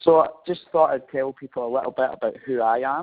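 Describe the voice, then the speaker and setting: The speech moves at a fairly quick pace. It carries a Scottish accent. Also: man. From Scotland. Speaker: marketing professor. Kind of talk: webinar presentation. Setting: webinar. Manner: hesitant, frequent fillers.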